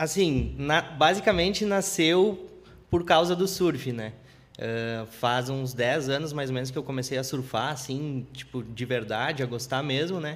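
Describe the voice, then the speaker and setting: A man with an unremarkable speaking voice talks at a fairly slow pace, using ordinary pitch variation. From interior of Rio Grande do Sul, Brazil. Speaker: graffiti artist. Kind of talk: live podcast interview. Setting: studio.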